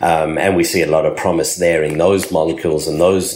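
A man speaks in an Australian accent at a moderate pace. Noticeable background noise and audible room echo fill the recording. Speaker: pharmacist and cannabis entrepreneur. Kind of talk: interview.

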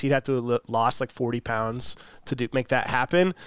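An unremarkable speaking voice from a man with an American accent, medium pitch and ordinary pitch variation, dry and close with no echo. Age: 20s. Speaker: podcast host. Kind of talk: casual chat. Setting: remote recording.

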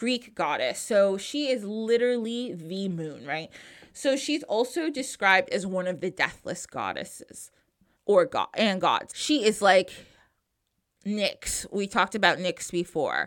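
Heard on a very clean recording with a silent background, a woman speaks at a fairly slow pace and medium pitch with lively intonation. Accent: American. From New Jersey. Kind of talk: casual interview and solo segments.

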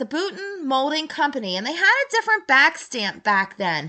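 Against a quiet background, a woman with an American accent raises and projects her high voice in a bright, sharp tone, her pitch swinging very widely. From US, Baltimore. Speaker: podcast host, vintage collector. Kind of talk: solo podcast monologue. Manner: casual, many filler words.

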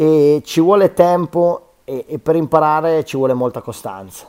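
Recorded very cleanly against a silent background, a man's dry, close voice with no echo shows ordinary pitch variation. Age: 30s. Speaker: professional BMX freestyle rider. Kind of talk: interview. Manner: halting, with frequent repetitions.

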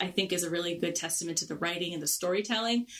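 A woman with fairly low pitch speaks with fairly even intonation. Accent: Long Island. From Long Island, New York. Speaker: podcast host. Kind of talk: casual chat, show review.

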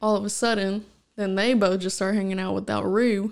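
A woman with a normal speaking voice talks at a moderate pace and medium pitch with fairly even intonation, on a very clean recording with a silent background. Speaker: host's fiancée. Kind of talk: casual chat. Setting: home recording with headphones. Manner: giggly, laughs often.

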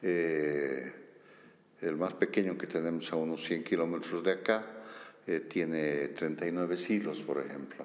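A very deep, low male voice at a fairly slow pace, with audible room echo. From Bolivia, Sucre. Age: 60s. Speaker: archaeologist. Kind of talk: interview.

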